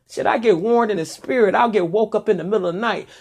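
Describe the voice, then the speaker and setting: Here a woman sounds animated, with lively intonation. Her pitch is fairly high, and the background is quiet. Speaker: vlogger. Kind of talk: casual monologue. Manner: loud.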